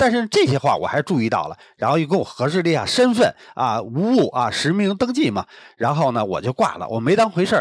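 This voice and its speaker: This man's voice sits at a high pitch and moves through very wide pitch swings at a fairly quick pace, recorded with a dry, close sound and no echo. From Beijing. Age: 50s. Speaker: podcast guest. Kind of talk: casual chat.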